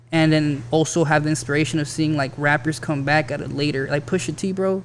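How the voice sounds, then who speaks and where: A man's fairly high voice at a fairly quick pace, over noticeable background noise. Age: 30s. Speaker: rapper. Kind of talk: casual chat.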